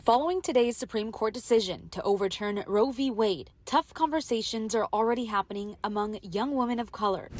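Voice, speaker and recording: In a normal speaking voice, a woman talks at a fairly quick pace with hardly any pauses. Her pitch is fairly high, with ordinary pitch variation. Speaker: bilingual TV reporter. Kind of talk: English TV news reporter delivery.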